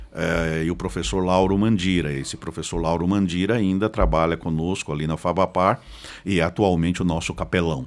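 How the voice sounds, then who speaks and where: Ordinary pitch variation marks a man's very deep, low voice at a moderate pace. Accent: interior Paraná. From Paraná, Brazil (Curitiba from age ten). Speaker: pastor and theology professor. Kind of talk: podcast interview.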